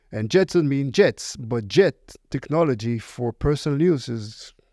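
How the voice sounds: A man with an Israeli accent speaks at medium pitch and a fairly slow pace, in a dark, mellow tone with vocal fry and ordinary pitch variation. The recording is very clean with a silent background.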